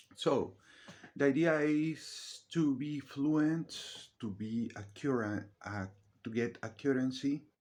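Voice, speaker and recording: In a non-native accent, the speaker moves at a very slow pace with ordinary pitch variation. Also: man, fairly high pitch for a man. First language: not English. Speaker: vlogger. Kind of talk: casual monologue. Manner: halting.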